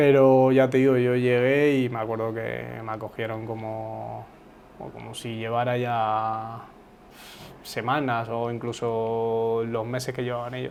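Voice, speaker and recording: A man speaks in a medium pitch with monotone, flat intonation. His fairly slow delivery comes with audible room echo. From Uruguay, raised in Spain (Zaragoza). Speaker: footballer. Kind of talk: interview. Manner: casual, hesitant with repetitions.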